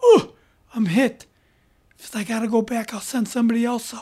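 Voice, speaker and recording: Using a put-on character voice, a woman sounds raspy at a fairly high pitch with fairly even intonation. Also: moderate pace. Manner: grunting, pained.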